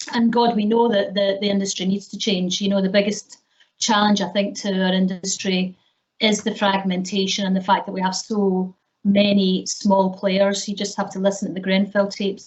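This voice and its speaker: A woman speaks with a Scottish accent at a moderate pace. Her medium-pitched voice is somewhat breathy and monotone, with flat intonation. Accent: Scottish, retained. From Scotland. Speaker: business executive, panelist. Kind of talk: panel discussion.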